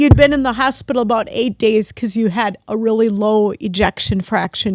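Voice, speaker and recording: Her voice carries vocal fry at a fairly high pitch for a woman. The sound is dry and close, with no echo. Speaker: podcast host. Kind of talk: podcast interview conversation.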